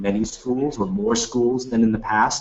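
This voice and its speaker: A man talks with an American accent at a moderate pace. His is a plain, everyday voice. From United States. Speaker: business school executive. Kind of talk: webinar Q&A. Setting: webinar.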